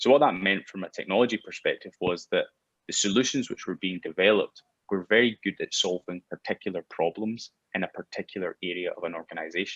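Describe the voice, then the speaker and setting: A man talks at a very fast pace. The recording sounds dry and close, with no echo. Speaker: biometrics company founder. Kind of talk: interview.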